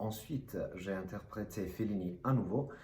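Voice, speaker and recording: Somewhat breathy and with a slight non-native accent, a man speaks at a moderate pace with ordinary pitch variation in a room with audible echo. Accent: slight foreign accent in French. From Italy, Rome. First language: Italian (speaking French). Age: 30s. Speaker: actor. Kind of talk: self-presentation to camera. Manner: hesitant.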